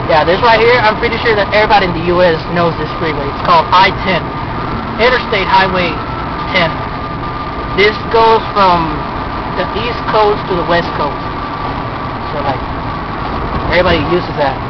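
Against loud background noise and with a dry sound that has no echo, a man talks at a moderate pace with ordinary pitch variation and long, frequent pauses. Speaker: driver vlogger. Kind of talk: casual vlog chat. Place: car. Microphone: phone near.

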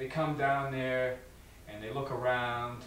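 Audible room echo and light background noise surround this recording. A man speaks at a fairly slow pace. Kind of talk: interview answer, acted monologue. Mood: aggrieved, storytelling. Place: empty room.

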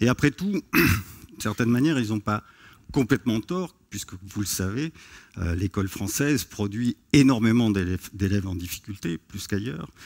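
The speech moves at a fairly slow pace with lively intonation. The background is quiet. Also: man, fairly low pitch for a man. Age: 50s. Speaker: sociology professor. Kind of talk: conference talk. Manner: hesitant with fillers. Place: stage. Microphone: headset.

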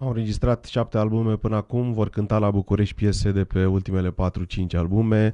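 A man's fairly low, dark, mellow voice, monotone and flat, at a fairly quick pace with very even loudness against a quiet background. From Romania. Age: 40s. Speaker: guest. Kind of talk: interview with live interpreting. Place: studio. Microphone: studio mic.

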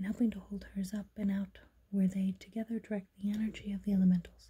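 A woman whispers at a very fast pace. Her voice is somewhat breathy. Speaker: tarot reader. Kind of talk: ASMR tarot reading. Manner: whispered. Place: home room. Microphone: phone near.

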